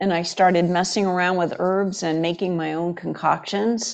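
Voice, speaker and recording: A woman's unremarkable speaking voice at medium pitch and moderate pace, against a quiet background. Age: 60s. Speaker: chiropractor. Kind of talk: interview.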